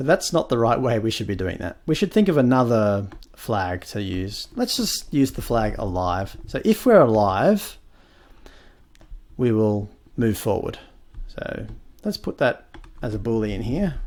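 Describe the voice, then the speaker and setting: A man with a medium-pitched voice speaks fairly slowly, with lively intonation and long, frequent pauses. The recording is very clean, with a silent background. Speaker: programming tutorial creator. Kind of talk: tutorial. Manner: hesitant with fillers.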